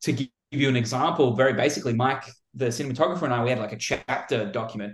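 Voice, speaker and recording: Speaking very fast with an Australian accent, a man has a medium pitch, a somewhat breathy quality and ordinary pitch variation. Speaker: film director. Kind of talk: interview.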